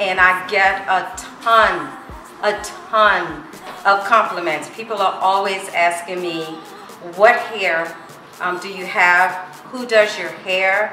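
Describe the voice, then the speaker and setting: A woman speaks very slowly in a monotone, flat way, with long, frequent pauses. Music plays in the background and room echo is audible. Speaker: customer giving a review. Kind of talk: testimonial.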